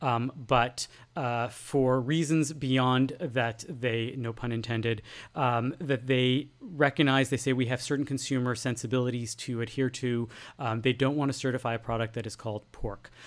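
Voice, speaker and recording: Here is a man with an ordinary speaking voice, pitched in the medium range and delivered at a moderate pace. His intonation stays fairly even, and the recording is very clean with a silent background. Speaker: podcast co-host. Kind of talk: casual chat.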